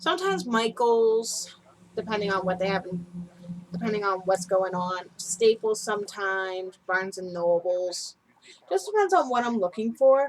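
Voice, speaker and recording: A woman speaks in a normal speaking voice at medium pitch. Her intonation stays fairly even at a moderate pace. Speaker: knitting podcast host. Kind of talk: casual chat. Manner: rambling, unscripted.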